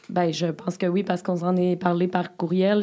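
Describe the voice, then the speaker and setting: This is a woman speaking at a medium pitch. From Beauce, Quebec. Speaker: podcast host. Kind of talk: casual interview. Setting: studio.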